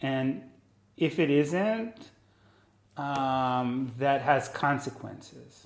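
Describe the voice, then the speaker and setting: In a room with audible echo, a man with an Israeli accent speaks very slowly in a fairly high voice, taking long, frequent pauses, his pitch varying in an ordinary way. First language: Hebrew. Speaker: neuroscientist. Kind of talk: casual chat. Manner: halting.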